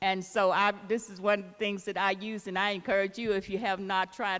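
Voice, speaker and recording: A woman with an Arkansas accent, medium in pitch, at a moderate pace. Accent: Southern US, Arkansas. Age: 70s. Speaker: city council member and evangelist. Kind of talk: public town hall comment.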